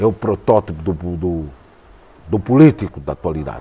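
Somewhat breathy and very deep, a man's low voice carries a dark, mellow tone and lively intonation at a moderate pace. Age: 60s. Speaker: journalist. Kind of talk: interview. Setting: jazz club.

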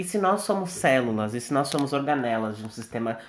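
A man's plain, everyday voice with lively intonation at a moderate pace. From Brazil. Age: 20s. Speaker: podcast host, medical student. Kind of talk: casual chat.

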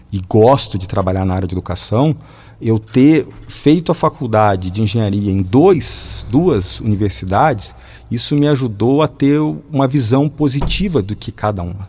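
A man talks in a plain, everyday voice at a medium pitch. His pace is moderate and his intonation lively. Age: 40s. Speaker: mechanical engineer and teacher. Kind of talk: radio interview.

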